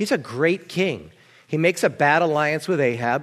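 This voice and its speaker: An unremarkable speaking voice from a man with an American accent, fairly high in pitch with ordinary pitch variation, at a moderate pace against a quiet background. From New Jersey. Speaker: pastor. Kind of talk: sermon.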